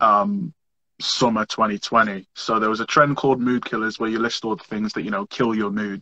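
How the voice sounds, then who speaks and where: In a northern English accent, a man talks at a fairly quick pace with a medium pitch, ordinary pitch variation and a bright, sharp tone, recorded with a dry, close sound and no echo. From northern England, Merseyside. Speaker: social media comedian. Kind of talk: podcast interview. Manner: animated.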